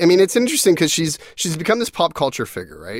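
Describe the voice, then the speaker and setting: A man's voice with vocal fry. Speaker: podcast host. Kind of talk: casual chat. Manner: hesitant, filler-heavy.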